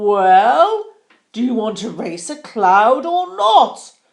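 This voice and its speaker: A put-on character voice with very wide pitch swings at a very slow pace. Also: woman, fairly high pitch for a woman. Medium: read story.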